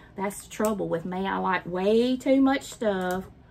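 A woman at a moderate pace with a Southern US accent, a medium pitch and ordinary pitch variation. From Mississippi. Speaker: craft vlogger. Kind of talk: casual chat.

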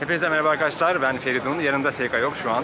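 Noticeable background noise sits behind a man who speaks at a very fast pace. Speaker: travel vlogger. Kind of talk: casual vlog chat. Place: street. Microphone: phone near.

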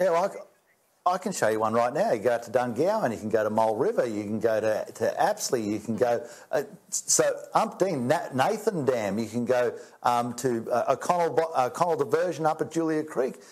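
His pitch swings very widely as this man talks at a fairly quick pace. The background stays quiet. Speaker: politician interviewed remotely. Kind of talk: interview answer. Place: office. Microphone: lapel.

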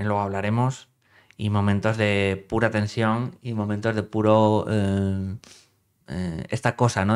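A man's fairly low voice, fairly slow and monotone, over a quiet background. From northern Spain. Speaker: film critic YouTuber. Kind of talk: film review monologue. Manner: hesitant, many fillers. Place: home room.

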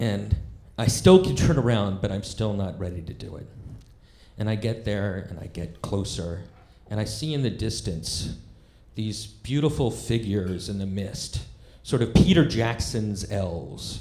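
A man speaks at a fairly slow pace with a fairly low pitch, a dark, mellow tone, vocal fry, and ordinary pitch variation. His loudness swings widely, and audible room echo surrounds him. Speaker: stand-up comedian. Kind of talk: stand-up storytelling. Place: stage. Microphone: handheld.

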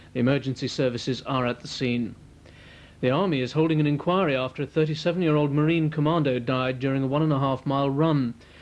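A man talks at a very fast pace and fairly high pitch. His loudness stays very even and his intonation fairly even. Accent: British. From England. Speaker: TV news announcer. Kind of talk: scripted regional TV news bulletin read to camera. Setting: TV studio. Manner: formal, crisp, measured and brisk. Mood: formal, serious. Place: studio.

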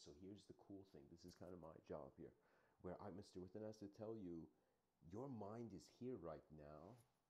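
A man speaks with a very deep, low pitch and a dark, mellow tone. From Canada (born in Iran, moved at seven). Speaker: online lecturer. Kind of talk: livestreamed solo lecture. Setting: livestream. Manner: halting, many fillers.

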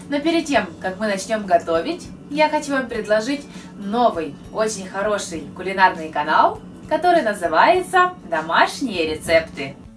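Clear music plays in the background. A woman speaks at a fairly slow pace. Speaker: cooking channel host. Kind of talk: casual vlog chat. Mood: cheerful, friendly. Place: kitchen.

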